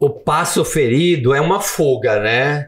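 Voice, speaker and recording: A man talks in a somewhat breathy voice at a fairly high pitch. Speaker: author and former teacher. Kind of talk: podcast interview. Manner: animated.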